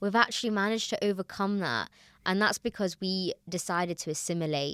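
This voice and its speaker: In a slight Manchester accent, a woman speaks with ordinary pitch variation, the recording very clean with a silent background and a dry, close sound with no echo. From Manchester, northern England. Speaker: podcaster. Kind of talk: casual chat.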